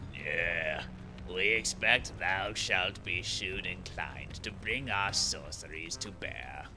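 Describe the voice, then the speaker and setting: A man puts on a character voice, very deep and low in pitch, at a fairly slow pace. Loud background noise runs underneath. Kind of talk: archaic speech, thee and thou. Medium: game stream. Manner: detached, formal.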